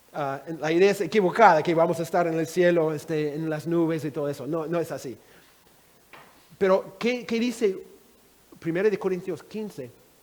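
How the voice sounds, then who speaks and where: A man at a fairly slow pace with lively intonation. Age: 60s. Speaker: Bible teacher. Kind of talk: Bible teaching session.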